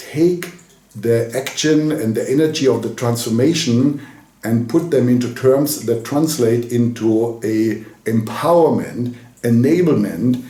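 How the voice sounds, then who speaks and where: Speaking at a fairly slow pace with a German accent, a man keeps a medium pitch with ordinary variation, amid noticeable background noise and audible room echo. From Germany. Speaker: spiritual coach. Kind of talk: direct-to-camera message.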